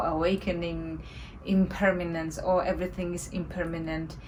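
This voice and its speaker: Woman with a non-native accent at a fairly slow pace, amid noticeable background noise and audible room echo. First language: not English. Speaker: meditation teacher. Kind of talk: spiritual talk. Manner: halting.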